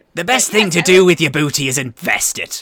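Putting on a character voice, a man speaks high for a man at a fairly quick pace. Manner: jokey, playful.

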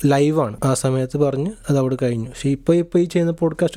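A man with a fairly high pitch and a dark, mellow tone speaks with ordinary pitch variation. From Kasaragod, northern Kerala. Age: 20s. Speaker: podcast co-host, student. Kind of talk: casual chat.

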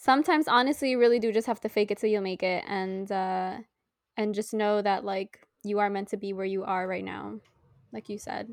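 A plain, everyday voice speaks at a fairly quick pace with fairly even intonation. The sound is dry and close with no echo, over a quiet background. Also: woman, medium pitch for a woman. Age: 20s. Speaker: podcast co-host. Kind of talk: casual chat.

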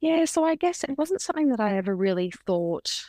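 Against a quiet background, a woman with an Australian accent talks at a fairly quick pace, with a dry, close sound that has no echo. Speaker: beauty industry professional and hypnobirth educator. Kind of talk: casual interview chat.

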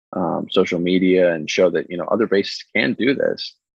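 A man with an American accent speaks at a fairly quick pace in a very deep, low voice, his pitch varying in an ordinary way. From US, grew up at Air Force Academy, Colorado. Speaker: aviation photographer and airport line service tech. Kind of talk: casual chat.

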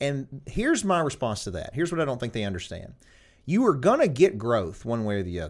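With a Southern US accent, a man speaks at a moderate pace, his pitch swinging very widely. The recording is very clean, with a silent background. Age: 40s. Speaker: lawyer and podcast host. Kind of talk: casual interview chat.

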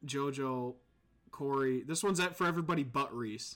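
A man talks at a fairly high pitch, varying it in an ordinary way. The recording is very clean, with a silent background. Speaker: podcast host. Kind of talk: casual live-play podcast chat. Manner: casual, laughing, profanity.

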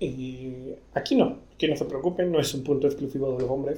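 Fairly high-pitched and somewhat breathy, a man speaks at a moderate pace. His intonation is fairly even and his tone dark and mellow. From Mexico City. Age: 30s. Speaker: podcast host. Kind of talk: casual monologue. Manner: halting.

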